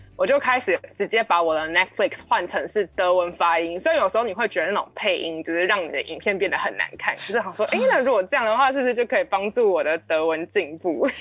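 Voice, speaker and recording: She talks at a very fast pace with lively intonation. The woman's pitch is medium. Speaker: German teacher. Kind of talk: casual chat; scripted dialogue reading.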